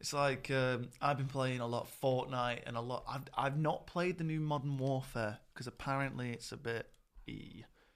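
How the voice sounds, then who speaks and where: Moderately paced male speech in a plain, everyday voice, medium in pitch, with fairly even intonation. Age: young. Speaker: podcast host and drummer. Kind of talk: casual chat.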